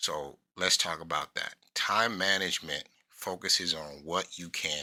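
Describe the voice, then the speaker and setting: In a very clean recording with a silent background, a man speaks at a very deep, low pitch with a bright, sharp tone. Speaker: self-help speaker. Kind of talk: motivational talk. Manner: halting.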